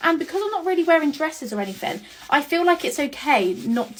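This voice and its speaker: This woman has a British accent. Her pitch swings very widely. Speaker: beauty content creator. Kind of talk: get ready with me vlog. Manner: rushed.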